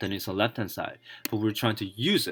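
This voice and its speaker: Fairly quick speech in a non-native accent, with music in the background. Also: man. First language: not English. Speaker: self-taught programmer video blogger. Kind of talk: tutorial. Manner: halting.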